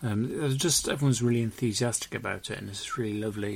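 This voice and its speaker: Somewhat breathy, a man with a British accent talks at a very fast pace and medium pitch with ordinary pitch variation. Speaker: podcast co-host. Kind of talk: casual banter podcast chat.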